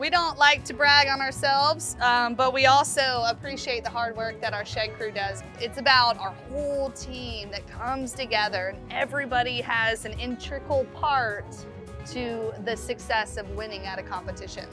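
A woman with ordinary pitch variation and big swings in loudness, over clear music in the background. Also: moderate pace. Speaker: restaurant owner guide. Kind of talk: interview answer. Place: shop.

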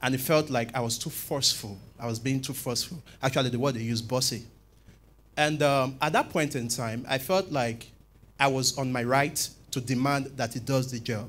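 The man's voice sits at a medium pitch with fairly even intonation. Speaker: scriptwriter in audience. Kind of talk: audience question. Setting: church conference with audience. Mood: earnest, thoughtful. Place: church. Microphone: handheld.

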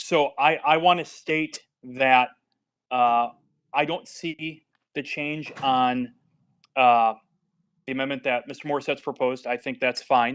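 A man speaks at a fairly slow pace and medium pitch with fairly even intonation. He takes long, frequent pauses against a quiet background. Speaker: city council member. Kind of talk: council meeting deliberation. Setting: remote call from a hotel. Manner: hesitant, many fillers. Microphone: too quiet on remote line.

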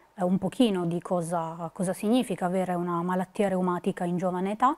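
The intonation stays fairly even. It comes from a woman. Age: 20s. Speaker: psychologist, patient association board member. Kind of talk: prepared talk to camera. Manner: hesitant, many fillers. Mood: calm, earnest. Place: studio. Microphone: lapel.

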